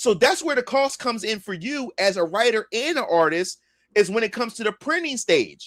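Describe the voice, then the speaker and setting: A loud man with a Philadelphia accent talks at a moderate pace with lively intonation. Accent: Philadelphia American English. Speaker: comic creator and livestreamer. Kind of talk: casual livestream chat. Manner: halting, repeats words.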